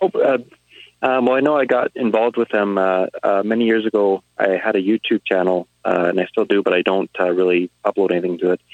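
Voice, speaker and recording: In a plain, everyday voice, a man speaks at a fairly low pitch and a fairly quick pace, with ordinary pitch variation, very even loudness and a dry, close sound with no echo. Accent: Canadian. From Alberta, Canada. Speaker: rig welder. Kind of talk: casual chat.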